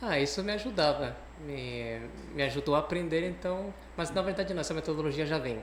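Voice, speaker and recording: A man with a Cuban accent at a fairly quick pace, amid noticeable background noise and audible room echo. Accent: foreign (Cuban Spanish) accent in Portuguese. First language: Spanish (speaking Portuguese). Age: young. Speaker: guest on a talk show, psychology professional. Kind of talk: interview.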